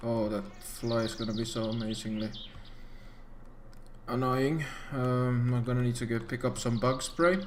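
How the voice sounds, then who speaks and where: A man with medium pitch and fairly even intonation talks at a moderate pace, with long, frequent pauses. Noticeable background noise and audible room echo fill the recording. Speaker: gaming youtuber. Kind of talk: gameplay commentary. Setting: home PC recording. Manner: soft-spoken; hesitant, many fillers.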